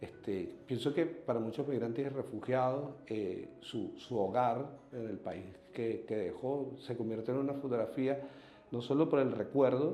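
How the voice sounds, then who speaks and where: Over noticeable background noise and audible room echo, a man of medium pitch speaks at a fairly slow pace with ordinary pitch variation. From Venezuela. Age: 40s. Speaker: human rights activist. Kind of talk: interview testimony. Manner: halting, many repetitions and fillers.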